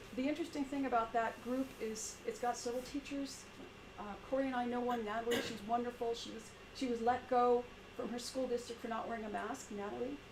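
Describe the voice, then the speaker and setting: Noticeable background noise sits behind a woman with a high pitch who speaks at a fairly quick pace. Her intonation is monotone and flat. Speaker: teacher. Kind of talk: community meeting presentation. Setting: in-person meeting, live-streamed. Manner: halting, with many repetitions.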